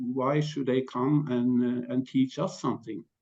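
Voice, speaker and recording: The man talks at a fairly slow pace with a Norwegian accent. His pitch is medium. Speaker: panelist. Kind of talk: panel discussion. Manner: halting.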